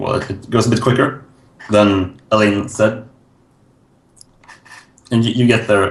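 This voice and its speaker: A man's fairly low, somewhat breathy voice moves at a fairly slow pace with fairly even intonation. Long pauses come frequently. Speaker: tabletop game master. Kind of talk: actual play scene narration.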